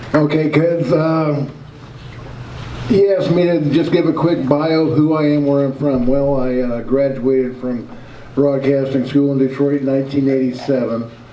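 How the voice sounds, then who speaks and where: A man speaks at a moderate pace with a fairly high pitch and fairly even intonation, with audible room echo and noticeable background noise. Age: 50s. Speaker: independent journalist and show host. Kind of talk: talk to a club audience.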